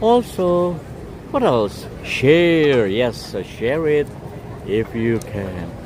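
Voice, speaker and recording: Against noticeable background noise, a man talks with lively intonation. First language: not English. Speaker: livestream walking tour host. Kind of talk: live walking vlog with chat shout-outs. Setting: outdoors on city streets. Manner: casual, halting with fillers.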